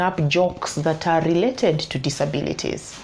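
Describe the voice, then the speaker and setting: A woman with a fairly low pitch talks at a moderate pace while noticeable background noise carries on. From Kenya. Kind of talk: advice vlog. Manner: halting, with repeated words.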